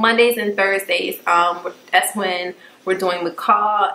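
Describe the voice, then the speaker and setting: A woman with a medium-pitched voice and fairly level intonation talks while noticeable background noise carries on. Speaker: YouTuber. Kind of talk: casual chat.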